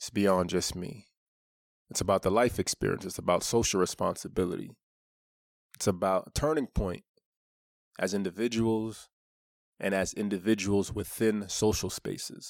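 The speaker's intonation stays fairly even, broken by long, frequent pauses. The recording is very clean, with a silent background. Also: man, fairly low pitch for a man, moderate pace, dry, close sound with no echo. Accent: New York. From Brooklyn, New York, US. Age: 30s. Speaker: author. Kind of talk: personal monologue promoting an audiobook.

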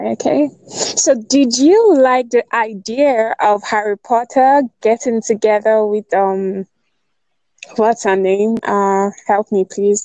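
Speaking with a Nigerian accent, a woman has a dark, mellow tone at a fairly high pitch with ordinary pitch variation. She goes at a very slow pace, and the sound is dry and close with no echo. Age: 20s. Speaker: writer. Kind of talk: casual chat.

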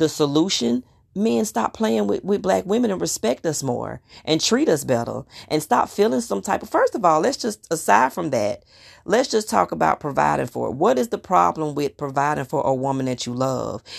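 With vocal fry and a very deep, low pitch, a woman talks at a moderate pace. Her pitch swings very widely. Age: 30s. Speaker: podcast host. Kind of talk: casual monologue. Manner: animated.

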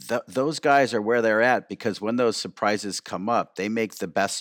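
A man with a plain, everyday voice talks at a fairly quick pace with lively intonation. The sound is dry and close, with no echo. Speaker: cinematographer. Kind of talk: interview conversation.

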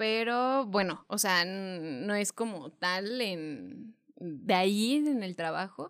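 On a very clean recording with a silent background, a woman speaks very slowly at medium pitch with lively intonation. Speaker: podcast co-host. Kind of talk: casual chat.

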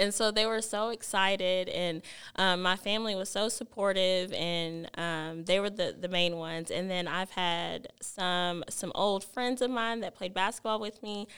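With an American accent and a normal speaking voice, a woman talks at medium pitch and a fairly slow pace, with fairly even intonation. She leaves hardly any pauses, on a very clean recording with a silent background. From Texas (Alvarado). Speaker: high school basketball coach. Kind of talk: casual interview.

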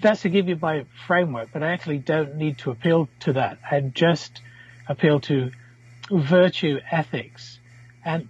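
A man at a fairly high pitch, speaking at a fairly slow pace. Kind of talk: moral philosophy debate.

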